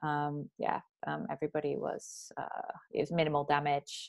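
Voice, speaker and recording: Against a quiet background, a woman speaks in a Manchester accent. Her pace is fairly slow. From northern England, Bury near Manchester. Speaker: career coach. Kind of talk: casual interview.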